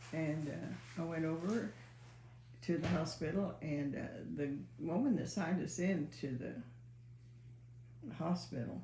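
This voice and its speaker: Soft-spoken and at a very slow pace, a woman talks with audible room echo around her. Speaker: mother, co-host. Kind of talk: casual chat. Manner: quiet, soft-spoken; halting.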